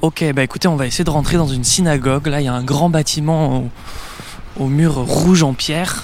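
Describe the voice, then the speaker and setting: At a fairly quick pace and with fairly even intonation, the voice comes through noticeable background noise and audible room echo. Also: man, fairly high pitch for a man. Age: 20s. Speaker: podcast host and journalist. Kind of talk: on-location travel narration. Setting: outdoors in city streets.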